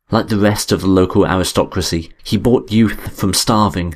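The speaker is doing plain reading aloud. Nothing more stands out.

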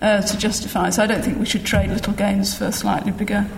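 This woman has a British accent and a medium pitch. She speaks at a moderate pace with noticeable background noise behind her. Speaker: education professor, panel respondent. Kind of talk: academic response and discussion.

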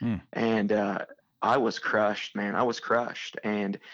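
A man's fairly low voice stays monotone and flat. The background is quiet. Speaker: church planter and missionary. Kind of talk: casual interview.

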